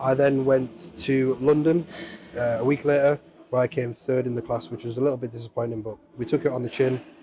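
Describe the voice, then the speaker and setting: With noticeable background noise behind him, a man speaks very fast at a medium pitch with fairly even intonation. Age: 30s. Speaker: amateur bodybuilder. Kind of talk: interview.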